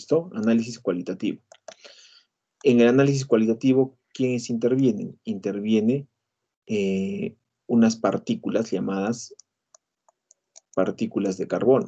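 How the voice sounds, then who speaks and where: A man with a dark, mellow tone speaks at a medium pitch and a fairly slow pace, with ordinary pitch variation. Long, frequent pauses break up his speech. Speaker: university lecturer. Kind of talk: lecture. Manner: many filler sounds.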